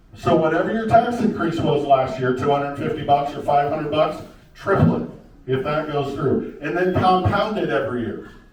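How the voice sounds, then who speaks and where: A man with an American accent speaks with lively intonation, with audible room echo and noticeable background noise. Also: moderate pace. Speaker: county commissioner candidate. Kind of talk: candidate debate.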